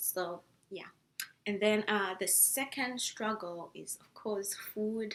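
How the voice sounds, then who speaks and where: A woman speaks in a strong Zimbabwean accent. Her intonation stays fairly even. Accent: thick Zimbabwean. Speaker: international student vlogger. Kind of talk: casual vlog talk. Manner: hesitant with many fillers.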